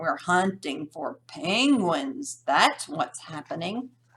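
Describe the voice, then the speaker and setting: A woman's put-on character voice, gruff and growling, fairly low in pitch, with very wide pitch swings at a very slow pace. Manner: growling, gruff.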